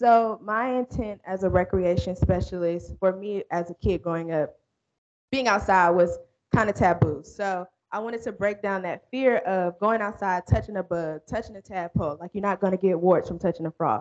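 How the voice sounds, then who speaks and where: A woman talks at a medium pitch and a moderate pace. Her pitch varies in an ordinary way, and the sound is dry and close with no echo. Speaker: city recreation specialist. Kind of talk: presentation to a meeting. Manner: loud.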